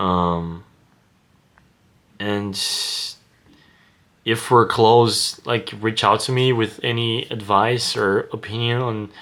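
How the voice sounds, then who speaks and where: A man with a Portuguese accent talks at a very slow pace, his tone bright and sharp and his intonation fairly even. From Brazil. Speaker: vlogger. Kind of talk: casual monologue to camera. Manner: hesitant, many fillers.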